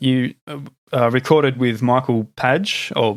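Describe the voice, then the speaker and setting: His pitch is medium for a man, and this man's intonation is fairly even. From Australia. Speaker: podcast host. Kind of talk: casual interview chat. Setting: video call.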